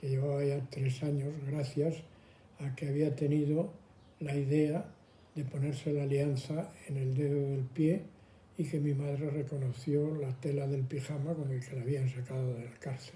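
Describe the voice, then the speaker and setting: A man with a fairly high pitch and a dark, mellow, somewhat breathy tone, fairly slow and monotone with flat intonation. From Madrid, Spain. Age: 80s+. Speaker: elderly interviewee. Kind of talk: testimony.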